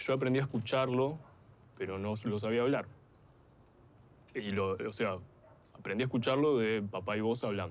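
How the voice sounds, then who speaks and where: In an Argentine accent, a man talks at medium pitch with ordinary pitch variation. His pace is moderate, broken by long, frequent pauses. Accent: Rioplatense Argentine Spanish. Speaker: documentary interviewee. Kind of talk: casual chat.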